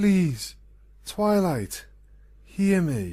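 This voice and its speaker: The pitch is in the middle range. The voice is a put-on character voice. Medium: read story.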